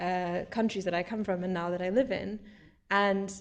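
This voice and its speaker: A woman with an American accent and a plain, everyday voice, medium in pitch, at a fairly quick pace. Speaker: panelist, consultant. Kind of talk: panel discussion.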